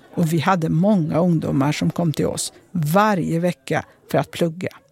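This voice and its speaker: A woman's fairly low voice at a fairly slow pace, with ordinary pitch variation, dry and close with no echo, over noticeable background noise. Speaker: former politician. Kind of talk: first-person narration.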